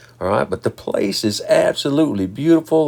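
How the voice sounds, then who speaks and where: A man speaks at a moderate pace, and noticeable background noise can be heard. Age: 60s. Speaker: fishing video host. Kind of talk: casual fishing vlog narration. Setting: outdoors on a boat.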